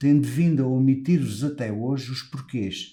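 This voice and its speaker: A man with a European Portuguese accent speaks at medium pitch in a dark, mellow tone. His pace is fairly slow, with ordinary pitch variation. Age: 60s. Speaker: lawyer running for professional body office. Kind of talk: campaign speech. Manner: formal.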